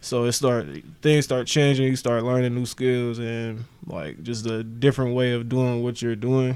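A man with a medium pitch and fairly even intonation speaks at a moderate pace against noticeable background noise. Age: 20s. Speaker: rapper. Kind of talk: casual chat.

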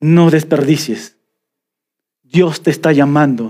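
In a Peruvian Amazon accent, a man with a fairly high pitch and a dark, mellow tone speaks at a very slow pace. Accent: Peruvian jungle (selva) accent, noticeable. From Peruvian Amazon (selva). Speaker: pastor. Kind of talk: sermon. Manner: animated.

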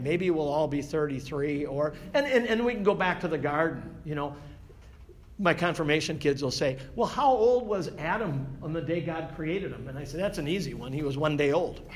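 At a moderate pace, a man with a fairly high pitch and ordinary variation talks in an ordinary speaking voice. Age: 60s. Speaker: Bible study teacher. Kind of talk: Bible study class. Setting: church classroom with group.

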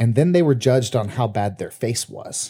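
A man with a dark, mellow tone, a somewhat breathy quality and lively intonation. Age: 30s. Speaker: podcast co-host. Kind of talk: casual chat.

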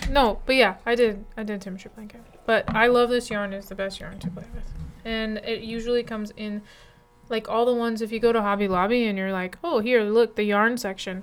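A woman's fairly high voice at a fairly quick pace, fairly even in intonation but with big swings in loudness, over noticeable background noise. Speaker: podcast co-host. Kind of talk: casual chat over wine.

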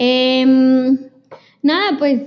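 Speaking at a very slow pace, a woman has a high-pitched voice. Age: 20s. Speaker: podcast co-host. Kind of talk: casual chat.

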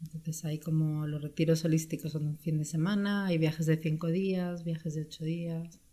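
A woman with a very deep, low pitch and a dark, mellow tone speaks at a moderate pace with hardly any pauses. Her voice is somewhat breathy and her intonation is monotone and flat. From Spain (born in Brazil, moved at 6). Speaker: travel entrepreneur. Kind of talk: interview.

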